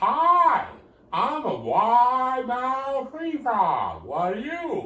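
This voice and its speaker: A man's put-on character voice, extremely high in pitch, at a very slow pace, with audible echo. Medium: solo performance.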